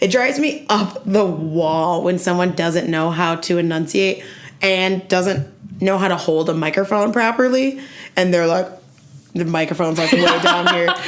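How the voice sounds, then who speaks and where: In a room with audible echo, a woman speaks at a moderate pace with medium pitch and an animated tone. Her loudness stays very even. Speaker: stand-up comedian. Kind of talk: casual chat.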